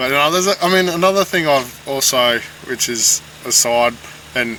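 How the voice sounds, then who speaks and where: Moderate pace and ordinary pitch variation in an Australian accent, over noticeable background noise. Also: man. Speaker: podcast co-host, construction and mining worker. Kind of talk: casual chat. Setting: separate rooms, remote recording.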